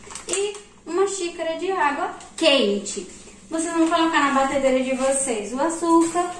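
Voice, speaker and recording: At a moderate pace and high pitch, a woman talks amid audible room echo and light background noise. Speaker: home cook vlogger. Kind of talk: tutorial. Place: kitchen. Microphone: phone near.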